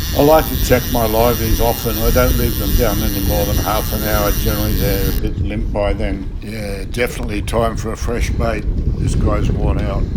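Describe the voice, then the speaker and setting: A man with an Australian accent speaks at a moderate pace amid audible room echo and noticeable background noise. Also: hardly any pauses. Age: 70s. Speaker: fishing vlogger. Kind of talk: casual vlog narration. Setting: outdoors on a boat.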